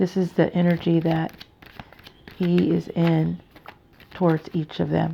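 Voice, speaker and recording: A woman talks with long, frequent pauses over noticeable background noise. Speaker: tarot reader. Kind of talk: tarot reading. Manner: hesitant, many fillers.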